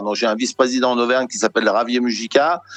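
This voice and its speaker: Very fast speech from a man at a medium pitch. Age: 60s. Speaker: sports federation president, retired plumber. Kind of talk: interview. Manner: halting, many repetitions and fillers.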